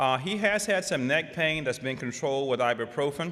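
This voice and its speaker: Medium in pitch, a man's voice moves at a fairly quick pace. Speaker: rheumatologist and conference speaker. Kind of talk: lecture. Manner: fast.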